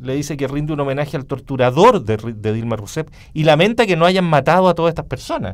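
In a normal speaking voice, a man talks at a fairly quick pace with lively intonation and a fairly high pitch. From Chile. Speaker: radio talk show host. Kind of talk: panel discussion. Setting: radio studio. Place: studio. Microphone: studio mic.

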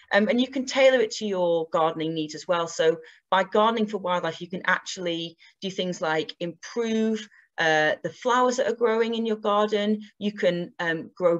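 A woman at a moderate pace with ordinary pitch variation, over a quiet background. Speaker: presenter. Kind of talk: online presentation talk. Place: home room. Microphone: webcam.

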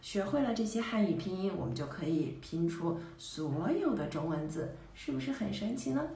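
Hardly pausing, a woman speaks at a moderate pace in a fairly low voice, with audible room echo. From Beijing, China. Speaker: Chinese teacher. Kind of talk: teacher self-introduction to camera. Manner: friendly, upbeat. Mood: friendly, cheerful. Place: home room. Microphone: phone near.

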